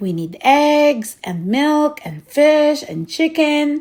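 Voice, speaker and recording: A put-on character voice at a very slow pace, on a very clean recording with a silent background. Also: woman, high pitch for a woman. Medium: read story.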